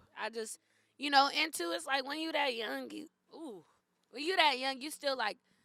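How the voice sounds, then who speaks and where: Speaking in a Bay Area accent, a woman uses a raised, projected voice with a high pitch and a bright, sharp tone. She keeps a moderate pace broken by long, frequent pauses. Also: lively intonation, big swings in loudness. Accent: Bay Area urban US English. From East San Jose, California. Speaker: podcast guest. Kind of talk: casual chat.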